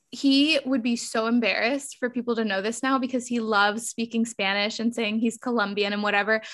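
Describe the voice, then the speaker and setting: This woman has a fairly high pitch and a normal speaking voice. She speaks with hardly any pauses on a very clean recording with a silent background. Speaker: podcast host. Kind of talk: casual interview chat. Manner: upbeat and warm.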